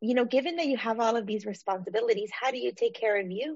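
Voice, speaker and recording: Fairly quick in pace, a woman's fairly high voice shows ordinary pitch variation. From Los Angeles (Baldwin Park), California. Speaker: therapist podcast host. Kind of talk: casual interview.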